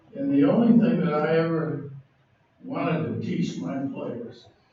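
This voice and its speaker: The speech comes at a very slow pace with very wide pitch swings. Noticeable background noise and audible room echo are present. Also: man. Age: 80s+. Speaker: basketball coach. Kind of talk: acceptance speech. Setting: banquet hall with audience.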